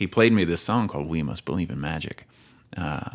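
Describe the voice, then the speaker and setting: In an American accent, a man with a very deep, low pitch and vocal fry talks very fast, his pitch swinging very widely. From US South, Nashville area (Tennessee). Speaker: musician and tech entrepreneur. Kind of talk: casual interview.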